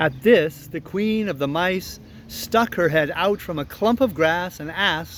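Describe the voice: This is plain reading aloud. It is heard as plain reading aloud throughout.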